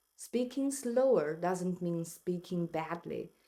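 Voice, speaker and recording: A woman's dark, mellow, medium-pitched voice with a non-native accent, fairly slow pace and lively intonation. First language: not English. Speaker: English learner vlogger. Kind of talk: personal vlog narration.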